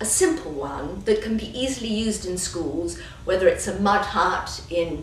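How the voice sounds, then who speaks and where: With a British accent, a woman speaks at a fairly slow pace with lively intonation, amid audible room echo and noticeable background noise. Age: 60s. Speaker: children's book author. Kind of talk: interview.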